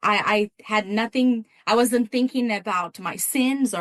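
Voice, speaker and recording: Recorded with a dry, close sound and no echo, a woman speaks fairly slowly in a Brazilian accent with fairly even intonation. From Brazil, São Paulo State. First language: Portuguese. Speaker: missions coordinator and pastor. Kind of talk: testimony. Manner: halting, many repeated words.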